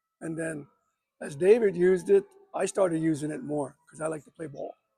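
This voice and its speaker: A man speaks at a moderate pace. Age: 60s. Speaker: basketball coach and inventor. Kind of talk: casual interview. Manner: halting.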